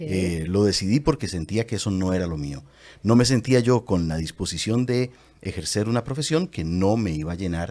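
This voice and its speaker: A man speaks with fairly low pitch and a dark, mellow tone. His intonation is lively. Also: moderate pace, very clean recording, silent background. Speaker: voice actor and commercial announcer. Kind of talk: interview answer.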